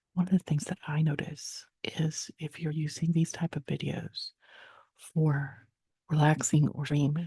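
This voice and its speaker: Whispering and soft-spoken, the speaker goes at a fairly slow pace. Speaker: painter and artist. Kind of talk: ASMR soft-talking voiceover. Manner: soft-spoken, whispered.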